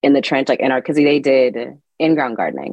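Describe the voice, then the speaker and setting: A very deep, low female voice in an American accent. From California, Sacramento. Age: 30s. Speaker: gardening educator and blogger. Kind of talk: interview.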